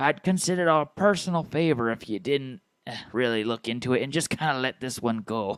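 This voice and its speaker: Putting on a character voice, a man speaks at a fairly quick pace. His pitch stays in the medium range. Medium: actual play. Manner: eager, scheming.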